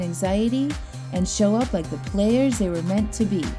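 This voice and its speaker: Music plays in the background as a woman speaks. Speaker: sobriety coach and podcast host. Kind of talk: podcast intro.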